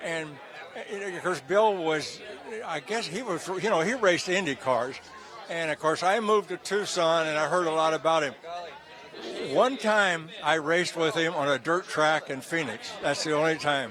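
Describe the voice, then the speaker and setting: A moderate pace and ordinary pitch variation, set against noticeable background noise. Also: man, high pitch for a man. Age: 90s. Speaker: retired racing driver. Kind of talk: interview. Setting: gala event venue. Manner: halting.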